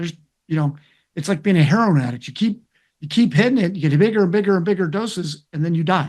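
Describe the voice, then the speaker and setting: Talking at a very fast pace, a man speaks in a high pitch. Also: ordinary pitch variation, quiet background. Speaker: interventional cardiologist. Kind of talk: interview. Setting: webinar video call. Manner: loud.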